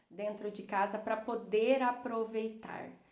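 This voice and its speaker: Amid noticeable background noise and audible room echo, a woman with a fairly high pitch speaks at a very slow pace. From Brazil, Cuiabá, Mato Grosso. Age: 30s. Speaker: psychologist. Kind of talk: personal storytelling to viewers. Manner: hesitant, many fillers.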